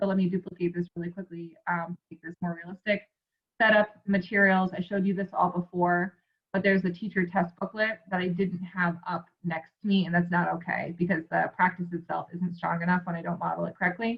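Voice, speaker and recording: Somewhat breathy speech at a fairly quick pace, in a monotone, flat intonation. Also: woman, fairly low pitch for a woman. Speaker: school staff trainer for teachers. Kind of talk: screen-share tutorial. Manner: fast; casual, filler-heavy.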